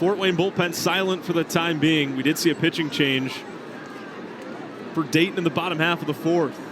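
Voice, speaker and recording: Over noticeable background noise, a man with a high-pitched voice talks at a moderate pace with fairly even intonation, leaving long, frequent pauses. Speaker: sports play-by-play broadcaster. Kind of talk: baseball TV play-by-play call.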